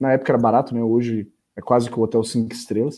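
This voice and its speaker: A dark, mellow tone carries speech delivered at a fairly quick pace. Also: man. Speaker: podcast co-host. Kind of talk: casual chat. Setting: recording from home.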